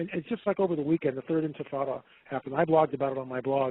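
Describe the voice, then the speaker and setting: Talking at a very fast pace, a man has a fairly high pitch and ordinary pitch variation. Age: 60s. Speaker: documentary producer and prophecy commentator. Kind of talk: interview discussion.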